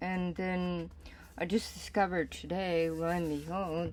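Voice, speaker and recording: Medium pitch from a woman with an unremarkable speaking voice, at a moderate pace. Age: 60s. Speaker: reverend and spiritual teacher. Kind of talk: casual sermon talk.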